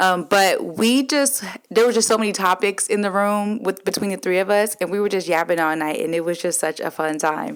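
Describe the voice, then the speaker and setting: Ordinary pitch variation in a woman's medium-pitched speech, delivered at a moderate pace. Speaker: podcast host. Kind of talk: casual chat. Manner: loud; animated.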